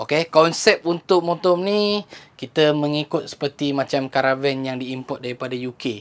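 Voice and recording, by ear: A man speaks at a moderate pace in a fairly high pitch with little pitch movement.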